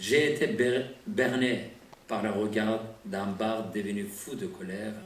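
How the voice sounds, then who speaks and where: A man with a non-native accent, medium pitch and ordinary pitch variation at a very slow pace, with audible room echo. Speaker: poet. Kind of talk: poetry reading.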